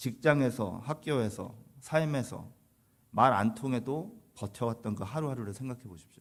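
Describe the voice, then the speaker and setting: A man uses a normal speaking voice at a moderate pace and medium pitch, with ordinary pitch variation and big swings in loudness. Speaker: pastor. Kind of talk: sermon.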